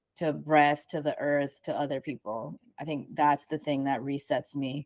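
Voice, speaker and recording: A woman's very deep, low voice with fairly even intonation and a dry, close sound free of echo. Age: 30s. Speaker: artist, musician and sound healer. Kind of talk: casual chat. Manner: fast.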